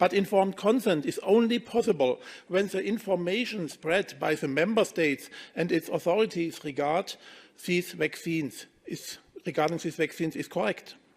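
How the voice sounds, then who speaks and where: The speaker has a German accent, heard on a very clean recording with a silent background. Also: man, high pitch for a man, ordinary pitch variation, moderate pace. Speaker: politician. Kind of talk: press conference statement read from script. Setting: press conference room.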